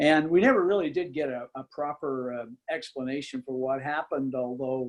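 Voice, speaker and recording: Moderately paced male speech in an unremarkable speaking voice, fairly high-pitched and ordinary in its pitch variation. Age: 60s. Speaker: political journalist, interviewer. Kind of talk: book talk interview.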